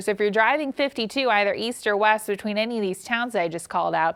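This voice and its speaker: With an American accent, a woman speaks in a normal speaking voice, fairly high in pitch, with ordinary pitch variation and a fairly quick pace. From Cincinnati, Ohio. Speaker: meteorologist. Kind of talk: severe weather alert coverage.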